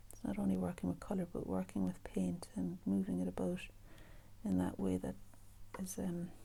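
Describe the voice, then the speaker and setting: A soft-spoken woman talks at a moderate pace, leaving long, frequent pauses. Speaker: artist and art teacher. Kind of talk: painting tutorial. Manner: casual, musing.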